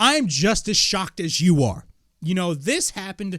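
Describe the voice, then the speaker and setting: Here a man speaks with a high pitch. His tone is animated, with very wide pitch swings. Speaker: wrestling podcast host. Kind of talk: casual podcast commentary. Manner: halting, mumbling.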